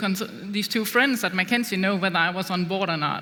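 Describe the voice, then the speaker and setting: Over noticeable background noise, a woman with a Danish accent speaks at a medium pitch with fairly even intonation. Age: young. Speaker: business executive. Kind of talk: on-stage interview.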